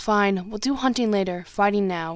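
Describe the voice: Someone reads a text aloud plainly. Pitch shifts by an ordinary amount.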